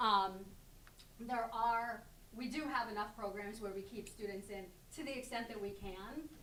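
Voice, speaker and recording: A woman speaks with a fairly high pitch and a bright, sharp tone, at a moderate pace with fairly even intonation. Long, frequent pauses break her speech, and the room echo is audible. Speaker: special education director. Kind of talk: presentation Q&A.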